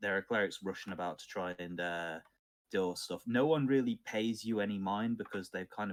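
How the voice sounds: A man talks at a fairly quick pace. His pitch sits fairly low.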